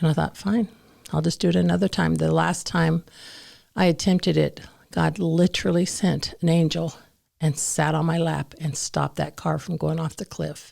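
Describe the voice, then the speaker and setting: The pace is moderate. The recording is very clean, with a silent background. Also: woman. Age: 60s. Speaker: ministry staff member sharing testimony. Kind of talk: testimony. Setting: podcast interview.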